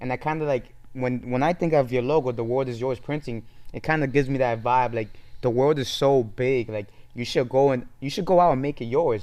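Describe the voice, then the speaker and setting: A man holding a medium pitch talks fairly quickly, his intonation fairly even. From Dominican Republic, raised New York City from 3 to 16. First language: Spanish. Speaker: clothing brand founder. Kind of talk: casual interview chat. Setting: podcast studio.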